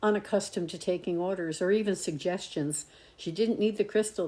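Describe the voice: Someone does plain reading aloud here.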